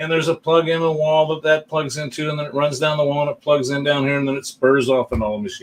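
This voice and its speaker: A man with a fairly high pitch races along at a very fast pace with hardly any pauses and fairly even intonation. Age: 60s. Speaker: pinball tournament streamer. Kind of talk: casual live stream chat. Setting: live stream.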